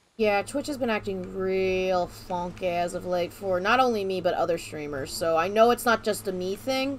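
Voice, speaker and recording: This is an ordinary speaking voice with lively intonation, a moderate pace and hardly any pauses. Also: woman. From Florida. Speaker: gaming streamer. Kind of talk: casual chat.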